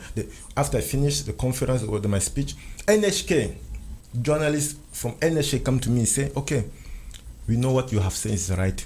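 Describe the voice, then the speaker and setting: Somewhat breathy and medium-pitched, a man talks at a fairly quick pace with lively intonation and long, frequent pauses. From Central Africa. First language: French. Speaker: interview guest. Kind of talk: interview testimony.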